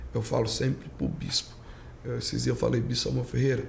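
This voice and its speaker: A man talks at a fairly quick pace with a northeastern Brazilian accent. Audible room echo surrounds his voice. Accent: northeastern Brazilian, kept. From Brazilian Northeast (Pernambuco). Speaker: pastor. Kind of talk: casual chat.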